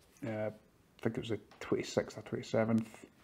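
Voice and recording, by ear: Talking fast in a monotone, flat delivery, a man has a fairly low pitch with a slightly husky edge.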